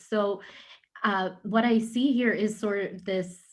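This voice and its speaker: Her pitch varies in an ordinary way, and the woman sounds somewhat breathy. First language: Urdu. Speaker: panel moderator. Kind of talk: panel discussion. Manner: halting.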